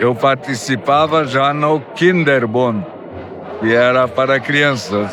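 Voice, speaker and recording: Man's voice with audible room echo and noticeable background noise. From southern Brazil, Timbó (Santa Catarina). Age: 80s+. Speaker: church member giving testimony. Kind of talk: testimony.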